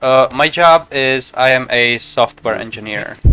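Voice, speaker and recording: A man talks with a slight Czech accent. The sound is dry and close with no echo, over noticeable background noise. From Czech Republic. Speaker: video game streamer. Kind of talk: casual gameplay commentary. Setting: live stream at home. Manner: fast.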